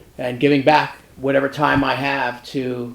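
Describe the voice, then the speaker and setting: Noticeable background noise sits under a man's medium-pitched voice, delivered in a monotone with flat intonation. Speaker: film assistant director. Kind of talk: panel discussion.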